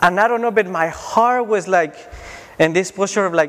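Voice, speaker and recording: Over noticeable background noise, a man talks in a Spanish accent. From Mexico (Tijuana). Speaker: preacher. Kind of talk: sermon. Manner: halting.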